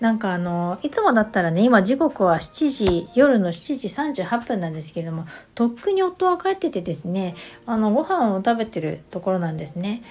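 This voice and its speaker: Music plays in the background while a woman speaks at a moderate pace. Her medium pitch moves in very wide swings. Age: 50s. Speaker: astrology adviser podcaster. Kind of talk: casual solo talk. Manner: many fillers, hesitant.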